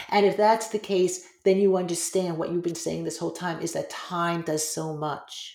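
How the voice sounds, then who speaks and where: Speaking at a moderate pace with hardly any pauses, a woman uses a fairly low pitch, fairly even intonation and a plain, everyday voice. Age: 50s. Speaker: yoga teacher and author. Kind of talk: casual chat.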